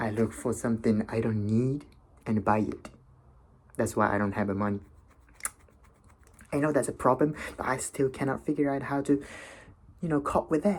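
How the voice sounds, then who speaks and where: Long, frequent pauses break up the talk, which keeps a moderate pace and ordinary pitch variation. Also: man, medium pitch for a man. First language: not English. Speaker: vlogger. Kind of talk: casual monologue. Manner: halting, many fillers.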